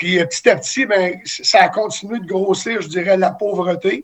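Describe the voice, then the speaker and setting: A man speaks with a high pitch. His intonation is fairly even. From Quebec City, Canada. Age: 60s. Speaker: former hockey player and charity volunteer. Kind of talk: interview.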